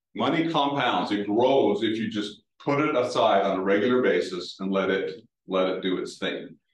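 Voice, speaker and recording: A man with an American accent talks at medium pitch with ordinary pitch variation, and audible room echo surrounds him. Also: moderate pace. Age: 60s. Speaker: retired banking executive. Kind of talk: talk with audience Q&A.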